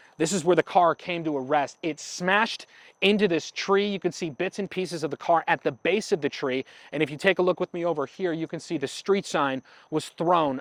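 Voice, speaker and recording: This man has a high pitch and a fairly quick pace. The sound is dry and close, with no echo. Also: ordinary pitch variation. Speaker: local TV news reporter. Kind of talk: broadcast news reporter delivery.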